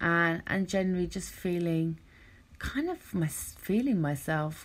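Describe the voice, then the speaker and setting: At a moderate pace, a woman with a slight cockney accent speaks in a fairly low pitch. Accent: slight cockney, London English. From London, England (council estate on outskirts). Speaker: podcast host, self-love and wellness coach. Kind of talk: motivational podcast monologue. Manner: relaxed, conversational.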